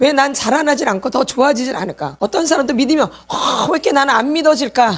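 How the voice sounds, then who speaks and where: Animated in tone and high in pitch, a woman speaks at a fairly quick pace over noticeable background noise. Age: 60s. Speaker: pastor's wife and healing ministry teacher. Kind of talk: sermon. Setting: church.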